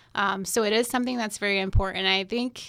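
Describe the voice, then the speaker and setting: On a very clean recording with a silent background, a woman with an American accent speaks at a medium pitch and a fairly quick pace, her tone bright and sharp and her intonation monotone and flat. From US South, North Carolina. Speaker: veterinarian, lab animal faculty. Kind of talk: panel interview.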